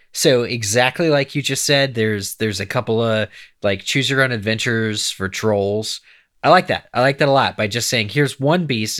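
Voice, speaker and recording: With an American accent and a normal speaking voice, a man speaks at medium pitch and a moderate pace with ordinary pitch variation on a very clean recording with a silent background. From eastern Pennsylvania. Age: 30s. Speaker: podcast co-host. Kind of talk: casual chat.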